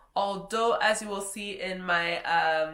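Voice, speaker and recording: A woman speaks very slowly in a French Canadian accent. Her pitch variation is ordinary. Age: young. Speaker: travel vlogger, hotel reviewer. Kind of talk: casual review monologue.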